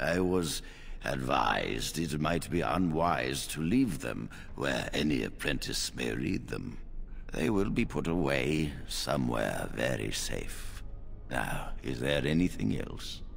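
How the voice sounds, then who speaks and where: A man puts on a character voice and speaks at a fairly slow pace. Background noise is clearly audible. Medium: video game. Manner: measured, authoritative.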